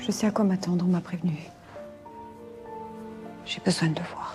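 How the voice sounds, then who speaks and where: Delivery comes at a moderate pace with fairly even intonation. Music plays in the background. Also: woman, medium pitch for a woman. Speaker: actress. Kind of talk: acting showreel of dramatic scenes.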